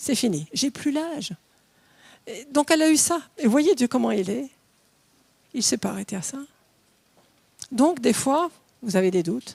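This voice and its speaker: A woman's high-pitched voice at a fairly slow pace, with very wide pitch swings and long, frequent pauses. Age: 60s. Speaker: preacher. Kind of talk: sermon. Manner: animated.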